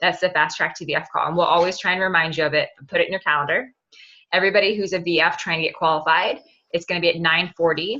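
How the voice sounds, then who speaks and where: A woman speaks at a very fast pace. Her voice sits fairly low in pitch. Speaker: team leader of sales reps. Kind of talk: team conference call. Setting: conference call at in-laws' house. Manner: soft-spoken; animated.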